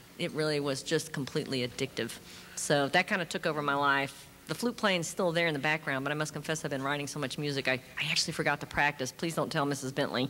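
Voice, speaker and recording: A woman with an American accent speaks at a very fast pace, her pitch very deep and low and her tone bright and sharp. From US, Brooklyn New York and the South. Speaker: composer. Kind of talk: panel discussion. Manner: animated.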